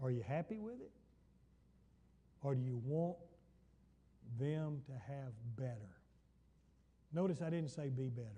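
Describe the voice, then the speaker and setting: A man with an American accent speaks at a fairly slow pace in a fairly high, somewhat breathy voice with a dark, mellow tone and lively intonation. Long, frequent pauses break his speech, and the room echo is audible. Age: 70s. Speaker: pastor. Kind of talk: Bible study sermon. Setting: church.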